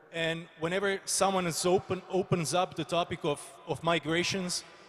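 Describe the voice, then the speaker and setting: This man talks at a moderate pace in a Croatian accent. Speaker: politician. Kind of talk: panel discussion. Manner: halting.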